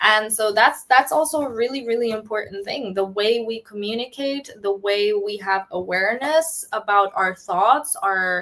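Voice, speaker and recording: A woman's fairly high voice with a bright, sharp tone, ordinary pitch variation and hardly any pauses. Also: moderate pace. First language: not English. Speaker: startup founder. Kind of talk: casual chat. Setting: live stream. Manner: halting.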